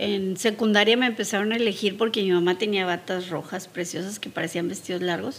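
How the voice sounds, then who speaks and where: The voice moves at a fairly quick pace with hardly any pauses and fairly even intonation. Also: woman, medium pitch for a woman. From Mexico. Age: 60s. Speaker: podcast host's mother. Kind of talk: casual interview.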